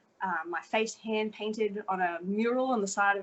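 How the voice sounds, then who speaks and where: A woman at medium pitch with a strong Australian accent. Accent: Australian, still strong. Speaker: fashion model. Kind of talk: interview.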